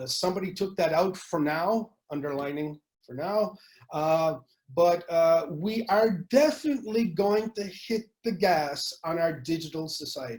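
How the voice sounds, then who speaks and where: Lively intonation marks this speaker, who talks at a fairly slow pace in a French accent. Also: man, high pitch for a man. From Canada. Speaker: futurist speaker. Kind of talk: webinar presentation. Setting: online webinar. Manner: hesitant, many fillers.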